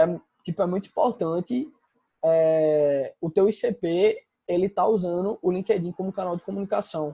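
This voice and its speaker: This man's voice sits at a high pitch with a dark, mellow tone. His pitch varies in an ordinary way. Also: dry, close sound with no echo. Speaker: business consultant. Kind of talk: online presentation with slides. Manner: casual.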